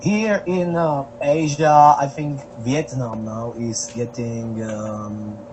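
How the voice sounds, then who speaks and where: A man at a very slow pace, medium in pitch with ordinary pitch variation, amid noticeable background noise. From Slovakia. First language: Slovak. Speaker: traveling street musician. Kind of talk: podcast interview. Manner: halting, many fillers.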